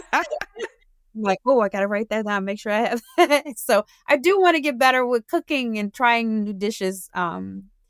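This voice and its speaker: A woman with a Southern US accent, fairly high in pitch, lively in intonation, at a moderate pace with hardly any pauses, in a dry, close sound with no echo. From New Orleans, Louisiana. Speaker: small business owner. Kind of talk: interview. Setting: studio. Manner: casual, hesitant with fillers.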